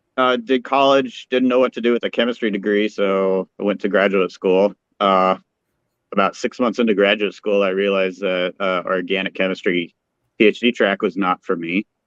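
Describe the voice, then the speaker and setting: At a moderate pace, a man talks with a fairly low pitch and fairly even intonation. He has a normal speaking voice. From Colorado. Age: 40s. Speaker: brewer, former chemist. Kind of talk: casual interview.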